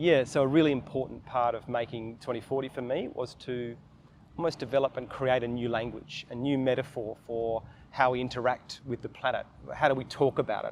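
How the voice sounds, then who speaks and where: A man in an Australian accent talks at a fairly quick pace and a medium pitch. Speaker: documentary filmmaker. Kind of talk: interview.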